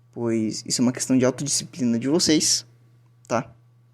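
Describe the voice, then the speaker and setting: A man speaks at a medium pitch and a moderate pace. His tone is dark and mellow, and his intonation fairly even. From southern Brazil. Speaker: language teacher. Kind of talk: lecture. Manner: casual, filler-heavy.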